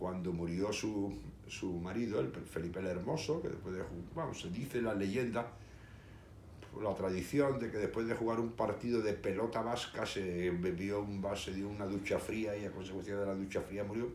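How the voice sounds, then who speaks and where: A man with a fairly low voice talks at a moderate pace amid audible room echo. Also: ordinary pitch variation. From Seville, Spain. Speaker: history video host. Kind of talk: casual monologue. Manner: hesitant, many fillers.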